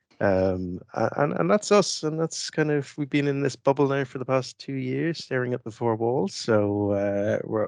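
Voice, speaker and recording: A man speaks at a moderate pace and medium pitch, with lively intonation and hardly any pauses. The sound is dry with no echo, over a quiet background. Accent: Irish. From Ireland. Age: 40s. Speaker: IT expert and tool developer; interview guest. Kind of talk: interview. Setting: studio. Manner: hesitant, many fillers. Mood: relaxed, reflective. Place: home room. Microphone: headset.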